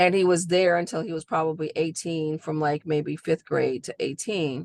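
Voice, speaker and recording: A woman's very deep, low voice with fairly even intonation, dry and close with no echo. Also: moderate pace. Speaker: discussion participant. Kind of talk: casual group discussion. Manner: loud, projecting voice.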